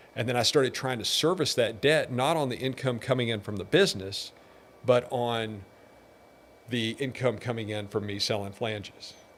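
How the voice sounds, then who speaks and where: A man with an unremarkable speaking voice talks in an American accent at a moderate pace, using a medium pitch with ordinary pitch variation. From Texas, Pasadena. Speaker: businessman. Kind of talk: interview.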